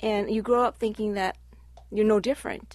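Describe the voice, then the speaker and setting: A woman with a Midwestern accent talks at a fairly quick pace. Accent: American Midwest. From Cleveland, Ohio. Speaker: community organization president. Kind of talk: casual radio chat. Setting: radio studio.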